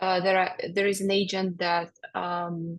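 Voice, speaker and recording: A woman with a medium pitch sounds somewhat breathy as she talks at a fairly slow pace. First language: not English. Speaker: HR generalist, webinar co-presenter. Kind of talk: webinar Q&A. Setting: video call. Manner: halting, many fillers.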